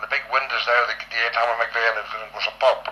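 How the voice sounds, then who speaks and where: A man talks while noticeable background noise continues behind him. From Northern Ireland. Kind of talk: reminiscing oral history. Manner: casual, rambling.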